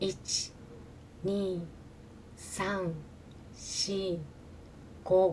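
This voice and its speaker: A woman at a very slow pace and medium pitch. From Japan. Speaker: Japanese language teacher. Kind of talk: language-learning narration. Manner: slow, careful.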